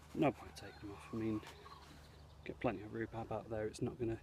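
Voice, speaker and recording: Soft-spoken and somewhat breathy, a man with an English accent and a fairly low pitch talks at a very fast pace, with big swings in loudness and long, frequent pauses. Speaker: scout leader. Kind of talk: video tour. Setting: outdoors.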